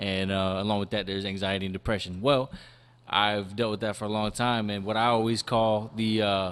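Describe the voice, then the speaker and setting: A normal speaking voice from a man, fairly low in pitch, at a fairly quick pace. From Los Angeles, California. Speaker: hip hop artist. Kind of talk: interview. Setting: studio. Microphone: too quiet at first.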